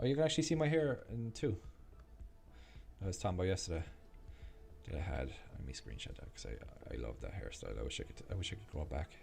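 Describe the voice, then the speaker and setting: A man with an Irish accent at a very fast pace, with long, frequent pauses and big swings in loudness. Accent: Irish, drops TH sound. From Ireland. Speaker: gaming and stock livestreamer. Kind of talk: casual chat. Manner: halting, many fillers and restarts.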